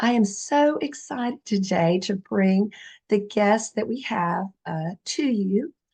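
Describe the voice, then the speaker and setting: In a quiet background, a woman with a somewhat breathy voice and dark, mellow tone speaks at a very slow pace. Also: medium pitch for a woman, lively intonation. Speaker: real estate agent. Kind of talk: interview introduction.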